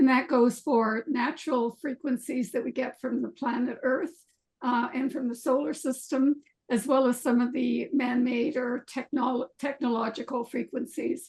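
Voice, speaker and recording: A woman speaks in a high pitch at a moderate pace. Her intonation is fairly even. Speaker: retired professor, EMF researcher. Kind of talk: panel discussion. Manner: hesitant, many fillers.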